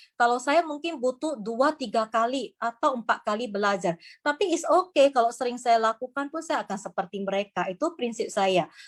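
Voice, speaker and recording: In a very clean recording with a silent background, a woman with a high pitch talks at a fairly quick pace, hardly pausing and using lively intonation. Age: 50s. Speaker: business presenter. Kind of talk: sales pitch. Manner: halting.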